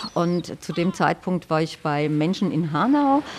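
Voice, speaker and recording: At a fairly slow pace, a woman speaks in a cheerful tone against noticeable background noise. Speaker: accessibility activist. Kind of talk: interview. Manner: cheerful, laughing.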